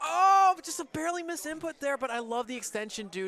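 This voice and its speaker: A man talks loudly and very fast, his intonation lively. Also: dry, close sound with no echo. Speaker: esports commentator. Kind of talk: live commentary. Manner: animated.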